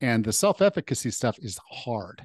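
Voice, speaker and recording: Recorded dry and close with no echo against a quiet background, a man with an unremarkable speaking voice talks at medium pitch and a moderate pace. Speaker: podcast host and personal trainer. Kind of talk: interview. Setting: video call.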